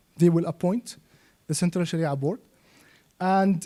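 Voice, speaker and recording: Dry and close with no echo, a man speaks at a high pitch. His tone is dark and mellow. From Yemen. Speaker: Islamic finance expert and trainer. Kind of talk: lecture.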